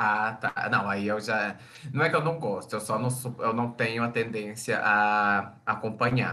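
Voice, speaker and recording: Using a normal speaking voice, a man talks at a fairly slow pace with medium pitch and fairly even intonation. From Brazil, Minas Gerais. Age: 20s. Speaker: advertising and communications professional. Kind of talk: casual chat.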